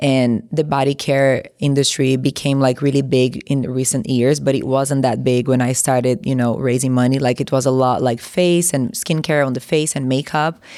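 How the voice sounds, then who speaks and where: A woman with a Brazilian Portuguese accent and a very deep, low pitch speaks at a moderate pace with fairly even intonation and hardly any pauses. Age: 30s. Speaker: entrepreneur, former model. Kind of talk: interview. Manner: casual, many filler words.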